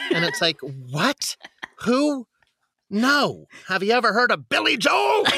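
Raised and projected, a man's high-pitched voice with an American accent moves at a very slow pace, recorded with a dry, close sound and no echo. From US West Coast, San Diego. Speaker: theater actor and coach. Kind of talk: casual chat. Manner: animated.

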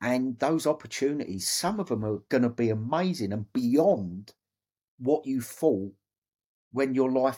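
A man speaks with an English accent at a fairly slow pace. His dark, mellow tone carries lively intonation on a very clean recording with a silent background. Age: 50s. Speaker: former Royal Marine and record-breaking ocean rower. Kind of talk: interview storytelling.

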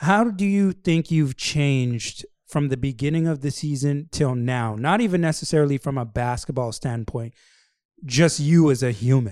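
Lively intonation from a man at a moderate pace, captured in a very clean recording over a silent background. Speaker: podcast host. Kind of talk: casual interview.

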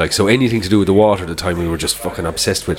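Over noticeable background noise, a man speaks in an Irish accent with a very deep, low pitch and fairly even intonation. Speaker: podcast co-host. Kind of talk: casual chat. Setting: pub.

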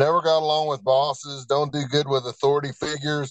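A man with an American accent and an unremarkable speaking voice, fairly high in pitch, at a fairly quick pace. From Virginia. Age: 50s. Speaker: person in addiction recovery. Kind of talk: testimony. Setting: remote call.

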